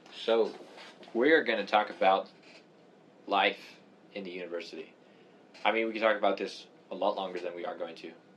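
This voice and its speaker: Fairly low-pitched male voice at a fairly quick pace, with ordinary pitch variation and long, frequent pauses. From Canada. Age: 20s. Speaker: physics student podcaster. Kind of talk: casual chat.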